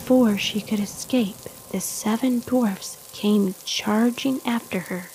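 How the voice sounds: This clip features a natural reading voice whose pitch moves in an ordinary way.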